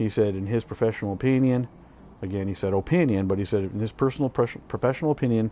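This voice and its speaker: Very fast and fairly low-pitched, a man speaks in a dark, mellow tone with ordinary pitch variation. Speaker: vlogger; army veteran. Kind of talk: casual monologue.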